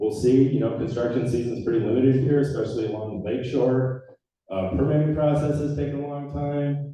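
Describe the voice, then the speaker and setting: Audible room echo surrounds a man's dark, mellow voice at a medium pitch, moving at a fairly quick pace with ordinary pitch variation. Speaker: trails nonprofit director. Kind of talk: public presentation at community meeting. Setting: community meeting room with audience, microphone on stand. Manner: loud.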